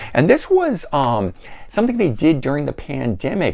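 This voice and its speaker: A man with an American accent speaks with very wide pitch swings. Noticeable background noise runs underneath. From Florida, US. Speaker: music collector YouTuber. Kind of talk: casual video review of CD collection. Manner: hesitant, many fillers.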